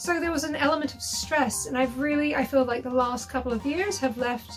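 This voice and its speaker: Music in the background and ordinary pitch variation. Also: woman. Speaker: burlesque performer. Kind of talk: interview answer.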